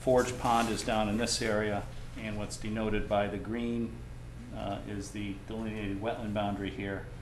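Over light background noise and audible room echo, a man talks at a moderate pace in a fairly low pitch with monotone, flat intonation. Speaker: environmental consultant. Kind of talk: technical presentation at public hearing. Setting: meeting room with microphones and audience. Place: meeting room. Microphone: camera far.

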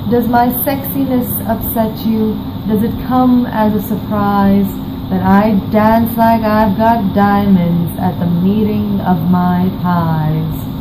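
Noticeable background noise sits behind a woman speaking at a very slow pace. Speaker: poetry reciter. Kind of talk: poetry reading. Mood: playful, confident, smiling. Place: home room. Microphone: webcam.

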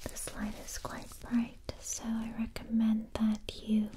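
A woman speaking at a very slow pace over noticeable background noise. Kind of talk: soft-spoken roleplay. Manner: soft close ASMR whisper. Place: home room.

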